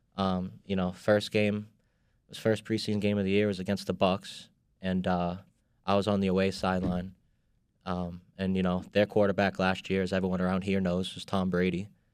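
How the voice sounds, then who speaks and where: A man with a Boston accent talks at a moderate pace, his very deep, low voice flat and monotone. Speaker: sports industry worker. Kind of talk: casual chat. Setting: studio.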